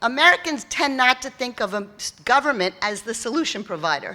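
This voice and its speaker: With a New York accent, a woman talks at a moderate pace, her high-pitched voice carrying lively intonation. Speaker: keynote speaker on philanthropy. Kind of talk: keynote speech. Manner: conversational, with fillers and false starts.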